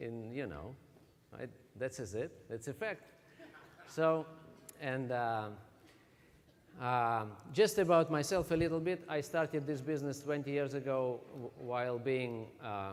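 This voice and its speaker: A man with a Russian accent, medium pitch and lively intonation, at a fairly slow pace with long, frequent pauses. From Russia (Siberia). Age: 40s. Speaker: network marketing distributor. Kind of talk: motivational talk. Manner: halting.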